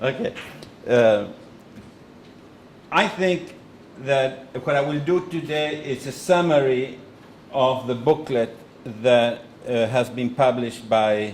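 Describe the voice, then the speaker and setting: Amid audible room echo, a man speaks at a fairly slow pace with long, frequent pauses and ordinary pitch variation. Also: medium pitch for a man. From Argentina. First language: Spanish. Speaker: economist and think-tank president. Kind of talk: lecture with consecutive interpretation. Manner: halting.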